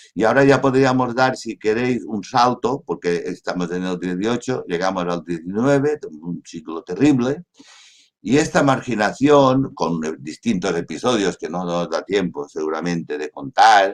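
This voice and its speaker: Moving at a fairly slow pace, a man with a medium pitch makes very wide pitch swings. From Mallorca, Spain. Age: 70s. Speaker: journalist. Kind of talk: online talk, historical testimony.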